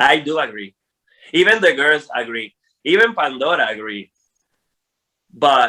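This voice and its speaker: In a non-native accent, a man with a fairly high pitch speaks fairly slowly in an animated tone, with very wide pitch swings and long, frequent pauses. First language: Spanish. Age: 40s. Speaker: drag queen. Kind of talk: interview.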